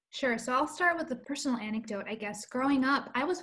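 A woman talks fairly quickly in an American accent, with noticeable background noise around her. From US, Colombian American family. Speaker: children's book author-illustrator and publisher. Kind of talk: interview conversation. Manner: animated.

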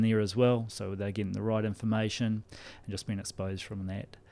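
With a New Zealand accent, a man talks in a fairly low pitch with a dark, mellow tone. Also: very clean recording, silent background. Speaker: rugby skills development coach. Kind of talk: casual interview.

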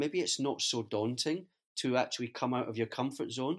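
This man talks at a fairly quick pace with a Scottish accent, his pitch medium and its variation ordinary. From Scotland. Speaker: business executive, co-host. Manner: hesitant, fillers.

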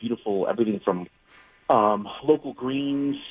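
A man speaks with ordinary pitch variation. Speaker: chef. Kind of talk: casual radio interview. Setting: phone call.

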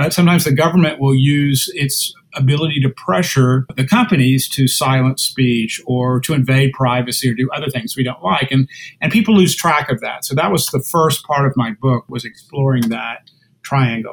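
A man with an American accent and a plain, everyday voice, medium in pitch, moderately paced, with ordinary pitch variation. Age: 60s. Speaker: lawyer and internet policy author. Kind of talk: interview.

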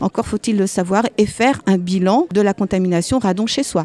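A woman's dark, mellow tone comes through dry and close, with no echo. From Alsace, France. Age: 60s. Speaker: midwife and anti-nuclear activist. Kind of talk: testimony.

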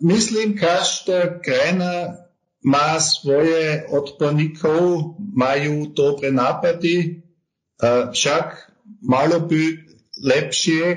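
A man speaks with a German accent in a fairly high voice. His pace is very slow. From Austria. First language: German (speaking Slovak). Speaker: tax advisory firm partner. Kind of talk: interview. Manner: halting, with many hesitations.

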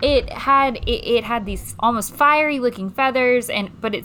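At a moderate pace, a woman speaks in a normal speaking voice with a fairly high pitch. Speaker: tabletop game player. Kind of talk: casual game banter.

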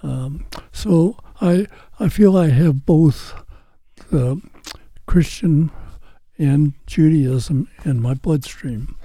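In an American accent, a man with a fairly high pitch and a dark, mellow tone speaks very slowly with long, frequent pauses and ordinary pitch variation. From St. Louis, US Midwest. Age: 90s. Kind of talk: interview telling testimony.

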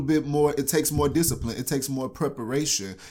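An unremarkable speaking voice from a man with an American accent, medium pitch, ordinary pitch variation and a fairly quick pace. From Texas, Houston. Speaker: actor and poet. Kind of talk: casual chat. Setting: studio.

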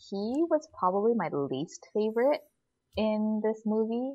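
Speaking with an American accent, a woman goes at a very slow pace. Her pitch varies in an ordinary way. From US West Coast, Northern California. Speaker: podcast co-host, film reviewer. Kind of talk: casual chat. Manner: heavy use of fillers like 'like' and 'you know'.

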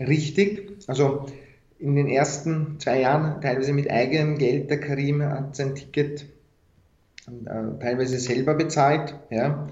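In a Viennese accent, a man speaks fairly slowly and somewhat breathily, his fairly high pitch held to fairly even intonation, with audible room echo around him. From Austria, Vienna. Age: young. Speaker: founder of a deradicalisation initiative. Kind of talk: interview.

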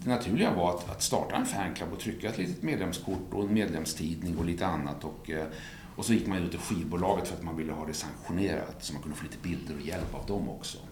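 With audible room echo around him, a man speaks very fast in a very deep, low pitch and fairly even intonation. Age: 50s. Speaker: music journalist. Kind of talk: casual chat.

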